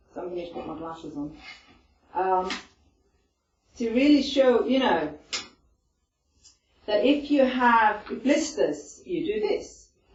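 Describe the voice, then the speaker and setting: A woman with an Icelandic accent, high in pitch with very wide swings, at a fairly slow pace amid audible room echo. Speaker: stress management presenter. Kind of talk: talk to a group. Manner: conversational, with many fillers.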